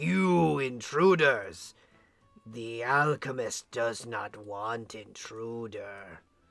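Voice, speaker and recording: A man puts on a character voice at a medium pitch and speaks at a very slow pace. Faint music plays in the background. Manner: accusatory, hostile.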